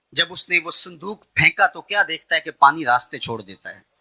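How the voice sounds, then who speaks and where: A man's voice in a dry, close sound with no echo. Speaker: Islamic preacher. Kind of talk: religious sermon (bayan).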